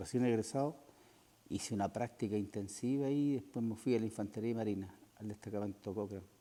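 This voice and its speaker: In a Chilean accent, a man speaks at a fairly quick pace, his medium-pitched voice dark and mellow with ordinary pitch variation. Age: 60s. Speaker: war veteran. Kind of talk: interview.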